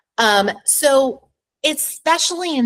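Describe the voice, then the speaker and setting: Lively intonation runs through this woman's speech. Her tone is animated. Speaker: real estate agent. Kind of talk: live webinar Q&A presentation. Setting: video call.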